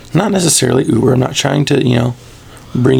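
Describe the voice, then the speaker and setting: Behind this man's voice there is noticeable background noise. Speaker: podcast host. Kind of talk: casual chat.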